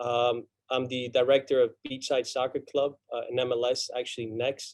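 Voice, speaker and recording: A man with a Spanish accent speaks at a medium pitch and a moderate pace with monotone, flat intonation. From Argentina. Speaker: college soccer coach. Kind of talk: panel talk. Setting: video call. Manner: halting.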